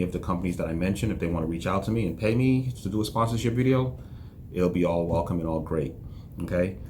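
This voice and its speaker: Talking at a very fast pace, a man is heard with noticeable echo from the room. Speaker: entrepreneur vlogger. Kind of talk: casual vlog monologue. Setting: office. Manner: monotone; reserved, low-energy.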